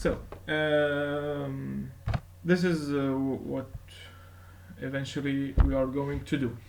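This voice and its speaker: A man with a non-native accent speaks at a fairly high pitch. Audible room echo surrounds his voice. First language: not English. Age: 20s. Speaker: YouTuber and self-taught computer science learner. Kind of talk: casual vlog. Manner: halting, many fillers.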